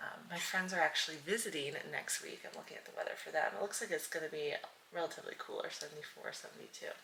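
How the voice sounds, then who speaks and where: A soft-spoken woman at a very fast pace, with big swings in loudness and noticeable background noise. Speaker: lifestyle vlogger. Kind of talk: casual vlog talk. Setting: at home, early morning. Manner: quiet, soft-spoken in the morning; casual, filler-heavy.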